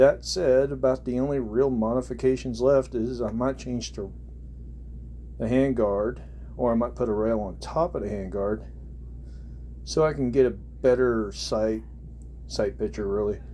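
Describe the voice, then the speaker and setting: A man with an American accent speaks at a moderate pace, leaving long, frequent pauses. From central Oklahoma. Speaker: hobbyist gun reviewer. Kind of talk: product review. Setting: bedroom. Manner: halting.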